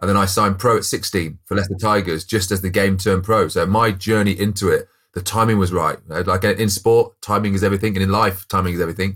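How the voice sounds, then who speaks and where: A man with a West Midlands accent speaks at a very fast pace with hardly any pauses, fairly low in pitch. His intonation is monotone and flat, and the recording is very clean with a silent background. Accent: English Midlands (Coventry). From Coventry, English Midlands. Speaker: former professional rugby player, business co-founder. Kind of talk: interview conversation.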